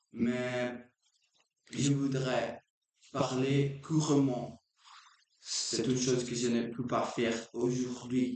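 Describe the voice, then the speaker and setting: A man's medium-pitched, monotone, flat voice at a very slow pace, with long, frequent pauses. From Brazil. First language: Portuguese (speaking French). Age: 20s. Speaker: language learner vlogger. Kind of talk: unscripted practice monologue. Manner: halting, with many restarts.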